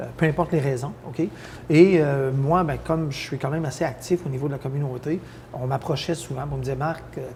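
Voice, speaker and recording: A man at fairly high pitch, with fairly quick delivery and fairly even intonation. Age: 60s. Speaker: mayor. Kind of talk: interview. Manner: hesitant, many fillers.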